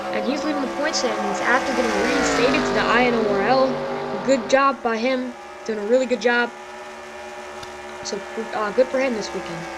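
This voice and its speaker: A woman speaks with long, frequent pauses, with audible room echo and noticeable background noise. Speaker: sim racing league commentator. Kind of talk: live commentary. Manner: fast; animated.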